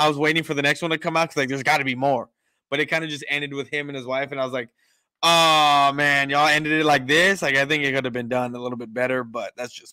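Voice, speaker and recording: Talking at a very fast pace, a man with a bright, sharp tone keeps his intonation fairly even, the sound dry with no echo against a quiet background. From San Antonio, Texas; Texas. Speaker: sports podcast host. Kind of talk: casual chat. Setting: remote call from home kitchen. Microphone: studio mic.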